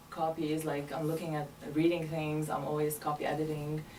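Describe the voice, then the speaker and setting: Someone with a Lebanese accent speaks at a moderate pace over noticeable background noise. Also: woman. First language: Arabic. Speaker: medical interpreter. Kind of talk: interview. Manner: hesitant, many fillers.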